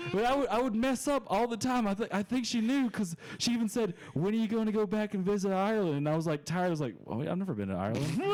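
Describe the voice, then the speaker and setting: With an American accent, a man speaks very fast at a high pitch in an animated tone, lively intonation and very even loudness, over noticeable background noise. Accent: southern US accent, hidden at times. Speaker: stand-up comedian. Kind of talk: casual chat. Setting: studio.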